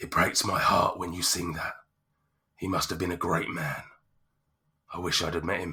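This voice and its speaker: Putting on a character voice, a man sounds raspy and husky at a very deep, low pitch, moving at a moderate pace with long, frequent pauses. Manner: sorrowful, wistful.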